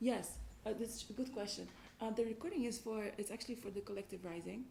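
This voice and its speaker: Speaking at a very fast pace with fairly even intonation, a woman with a fairly high pitch is heard over noticeable background noise. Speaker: team coach. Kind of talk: workshop facilitation.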